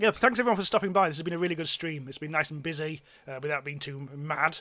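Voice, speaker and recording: Speaking at a very fast pace with a British accent, this voice has a bright, sharp tone and ordinary pitch variation. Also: man. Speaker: game streamer. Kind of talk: live gameplay stream commentary. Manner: halting, many fillers.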